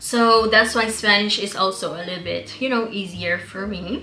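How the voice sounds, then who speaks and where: A woman's fairly high voice at a moderate pace, with ordinary pitch variation, audible room echo and noticeable background noise. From Caribbean island where Papiamento is spoken (ABC islands). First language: Papiamento. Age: 30s. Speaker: beauty YouTuber. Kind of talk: casual chat.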